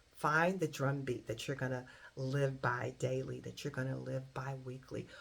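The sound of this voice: A woman with an extremely low pitch and vocal fry speaks at a moderate pace, her pitch moving very little.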